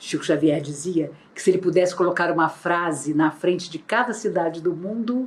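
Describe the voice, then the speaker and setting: A woman's fairly low-pitched, unremarkable speaking voice, with ordinary pitch variation at a moderate pace. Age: 60s. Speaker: spiritist lecturer. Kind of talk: religious lecture. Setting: online, not in person. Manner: formal.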